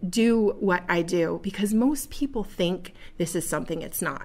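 A woman speaks with an American accent at a medium pitch with ordinary variation. It is an unremarkable speaking voice. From Buffalo, New York. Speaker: podcast host and direct-sales entrepreneur. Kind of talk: solo monologue. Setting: studio.

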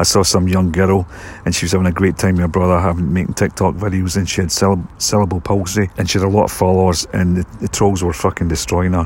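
In a Scottish accent, a man with a very deep, low pitch talks at a very fast pace in a monotone, flat intonation. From Scotland. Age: 50s. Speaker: filmmaker and actor. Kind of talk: casual monologue. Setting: outdoors in a cemetery.

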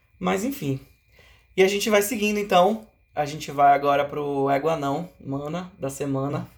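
Lively intonation marks this man's fairly high-pitched speech. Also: moderate pace. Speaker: podcast host. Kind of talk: casual chat.

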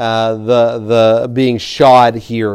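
Medium-pitched male voice in a Southern US accent. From Tennessee. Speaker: pastor. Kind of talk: sermon. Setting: church. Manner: halting.

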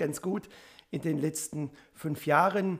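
The man's pitch sits fairly high. His intonation stays monotone and flat. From Upper Swabia, Biberach district. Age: 50s. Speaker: state politician. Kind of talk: self-introduction.

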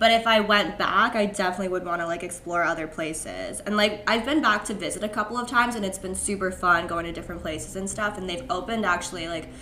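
Speaking very fast, a woman has a medium pitch and ordinary pitch variation. Noticeable background noise and audible room echo are present. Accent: Californian. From US West Coast, San Francisco Bay Area. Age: 20s. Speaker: podcast guest. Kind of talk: casual chat.

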